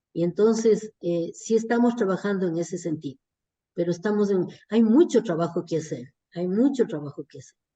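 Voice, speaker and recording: A woman's dark, mellow voice at a moderate pace, with big swings in loudness. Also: medium pitch for a woman, lively intonation. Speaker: nutrition and public health expert. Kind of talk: online workshop Q&A discussion.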